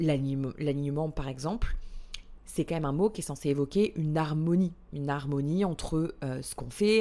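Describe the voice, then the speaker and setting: A woman's very deep, low voice with a dark, mellow tone and lively intonation. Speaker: podcast host and business coach. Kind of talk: solo podcast monologue. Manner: hesitant, many fillers and repetitions.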